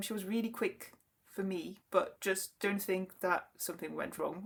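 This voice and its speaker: A woman with a French accent. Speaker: knitting podcaster. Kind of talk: casual chat. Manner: halting.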